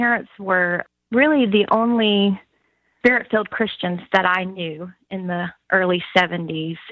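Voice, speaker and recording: Speaking fairly slowly in a Southern US accent, a woman keeps a medium pitch with ordinary pitch variation. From US South, Alabama. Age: 50s. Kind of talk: interview conversation.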